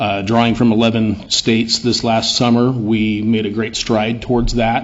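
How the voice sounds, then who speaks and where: At a moderate pace, a man speaks in a monotone, flat intonation at a medium pitch. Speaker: event organizer. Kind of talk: public comment. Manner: loud.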